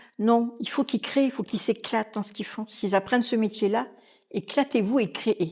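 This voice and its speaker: A woman talks at a moderate pace and a fairly high pitch with ordinary pitch variation, on a very clean recording with a silent background. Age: 60s. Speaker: restaurant manager. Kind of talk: podcast interview. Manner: animated.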